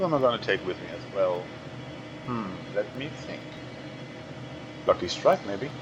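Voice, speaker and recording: Over noticeable background noise, a man at medium pitch speaks at a moderate pace with very wide pitch swings, big swings in loudness, and long, frequent pauses. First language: German. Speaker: gamer. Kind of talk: let's play commentary.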